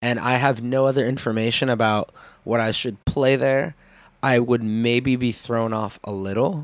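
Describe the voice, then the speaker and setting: With an American accent, a man talks in a normal speaking voice at medium pitch and a moderate pace, his intonation fairly even, on a very clean recording with a silent background. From Chicago, US Midwest. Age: 20s. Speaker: DJ and content creator. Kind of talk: casual chat.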